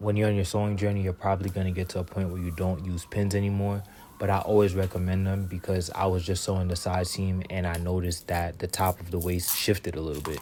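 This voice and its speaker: A man with a very deep, low pitch and a dark, mellow tone talks at a very fast pace with hardly any pauses, his intonation monotone and flat. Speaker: fashion designer, sewing YouTuber. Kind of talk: vlog narration.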